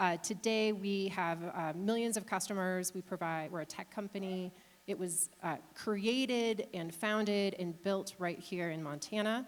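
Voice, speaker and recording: Speaking at a fairly slow pace with hardly any pauses, a woman has a Chicago accent. Her pitch is medium, and her intonation fairly even. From Chicago area, US Midwest. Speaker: company CEO, panelist. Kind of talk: panel talk.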